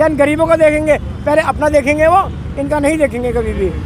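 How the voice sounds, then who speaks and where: Over crowd noise in the background, a man speaks at a moderate pace with monotone, flat intonation. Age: 70s. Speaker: protester at farmers' rally. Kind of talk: street interview.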